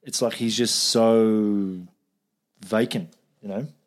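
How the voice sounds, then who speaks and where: A man with a New Zealand accent is heard in a very clean recording against a silent background. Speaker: podcast host. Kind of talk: casual chat.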